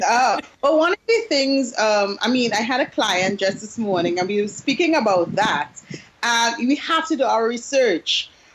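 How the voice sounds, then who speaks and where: Speaking in a Trinidadian accent, a woman uses lively intonation at a moderate pace, her loudness very even, over noticeable background noise. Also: fairly high pitch for a woman. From Trinidad and Tobago. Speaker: business coach. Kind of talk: interview. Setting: Skype call.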